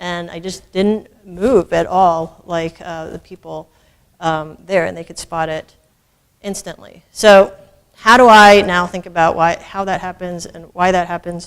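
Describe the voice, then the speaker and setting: A woman with an American accent talks at a fairly slow pace and fairly low pitch, her intonation fairly even but her loudness swinging widely. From United States. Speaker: biomedical engineering professor. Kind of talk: lecture. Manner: halting.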